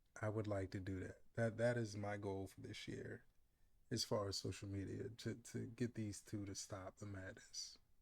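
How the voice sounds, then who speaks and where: This man's voice is fairly low and somewhat breathy. He keeps a moderate pace with a monotone, flat intonation. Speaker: YouTube commentary vlogger. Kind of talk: casual commentary monologue.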